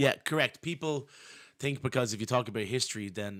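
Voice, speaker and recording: Here a man speaks with a Dublin accent and ordinary pitch variation. The recording is very clean, with a silent background. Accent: Irish (Dublin). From Ireland. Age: 40s. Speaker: historian. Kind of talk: casual chat. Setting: live-streamed podcast.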